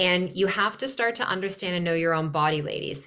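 An ordinary speaking voice at a fairly quick pace. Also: woman. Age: 40s. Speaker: nutritionist and women's health specialist. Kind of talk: casual interview chat.

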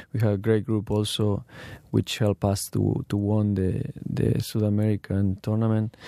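A man's fairly low, dark, mellow voice at very even loudness, in a very clean recording with a silent background. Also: fairly even intonation, moderate pace. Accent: Spanish. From Argentina. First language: Spanish. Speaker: professional footballer. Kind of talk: interview. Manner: halting.

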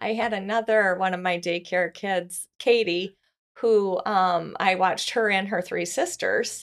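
A woman's ordinary speaking voice at medium pitch, with an American accent, fairly even intonation and a fairly slow pace, on a very clean recording with a silent background. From Michigan. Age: 40s. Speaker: nanny. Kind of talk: casual chat.

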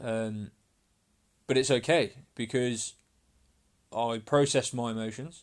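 A man at medium pitch, fairly slow, with long, frequent pauses and fairly even intonation. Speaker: fitness coach and podcaster. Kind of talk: solo podcast monologue, personal and emotional. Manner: hesitant, halting, passionate; unscripted, conversational, swears casually.

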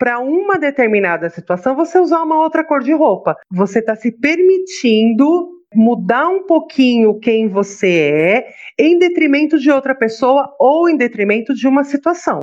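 A woman speaks high in pitch at a moderate pace, with very wide pitch swings. Her loudness stays very even, and she hardly pauses. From Brazil, São Paulo. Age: 40s. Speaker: holistic therapist. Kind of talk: casual chat.

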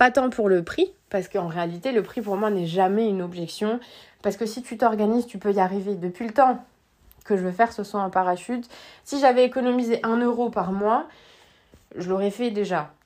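A woman speaks in an animated tone at a moderate pace, her medium pitch showing ordinary variation. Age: 30s. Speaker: life coach. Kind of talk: podcast monologue.

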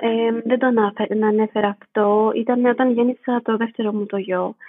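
A woman speaks fairly slowly, her intonation flat and monotone. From Greece, Athens. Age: 20s. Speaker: midwife. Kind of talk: interview.

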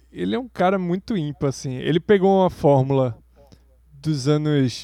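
A dark, mellow tone with ordinary pitch variation comes through on a very clean recording against a silent background. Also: man. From Brazil. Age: 40s. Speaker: podcast co-host. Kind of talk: casual chat.

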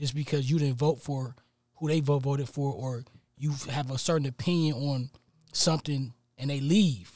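A man's somewhat breathy, fairly high voice with a dark, mellow tone, at a moderate pace with fairly even intonation. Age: 30s. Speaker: podcast panelist. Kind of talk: casual chat.

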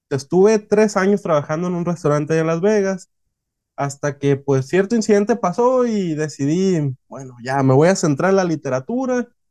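Lively intonation at a moderate pace. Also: man. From northwestern Mexico (Hermosillo, Sonora). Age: 20s. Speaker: novelist and sushi chef. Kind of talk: interview.

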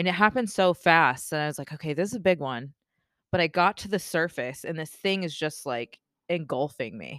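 In a very clean recording with a silent background and a dry, close sound with no echo, a woman with a normal speaking voice talks at a fairly low pitch and a fairly quick pace, with lively intonation and big swings in loudness. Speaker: spearfisher. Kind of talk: casual chat. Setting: home garage studio.

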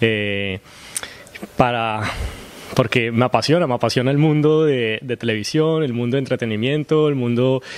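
A man with a normal speaking voice talks at medium pitch and a moderate pace, with ordinary pitch variation. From Colombia. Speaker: actor. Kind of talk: interview.

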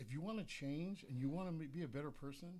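A man speaks at a fairly quick pace in a fairly high pitch, his voice somewhat breathy, with ordinary pitch variation. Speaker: magazine sponsor. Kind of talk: casual chat. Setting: studio.

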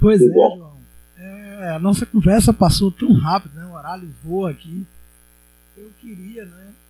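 A man's high-pitched voice in a dark, mellow tone, with big swings in loudness. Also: fairly even intonation, fairly slow pace. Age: 40s. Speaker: podcast host and educator. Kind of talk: casual interview chat.

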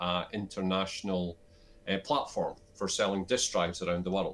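With monotone, flat intonation, a man talks in a very deep, low register. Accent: Scottish Borders. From Scotland, Scottish Borders (Selkirk). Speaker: business advisor and investor. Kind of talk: interview.

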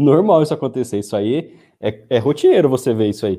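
A man speaks in an ordinary speaking voice. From interior of São Paulo state, Brazil. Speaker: rural property lawyer. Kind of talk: live-stream interview.

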